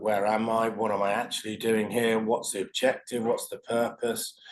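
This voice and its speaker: At a medium pitch and a fairly quick pace, a man talks over a quiet background. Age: 60s. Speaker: IT professional. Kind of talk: testimonial interview answer. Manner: hesitant, reflective.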